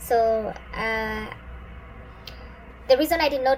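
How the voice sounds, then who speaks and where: Noticeable background noise sits behind a woman's fairly high voice with fairly even intonation. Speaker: hair care vlogger. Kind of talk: tutorial. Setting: filming at home by a sunny window. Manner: sped up playback.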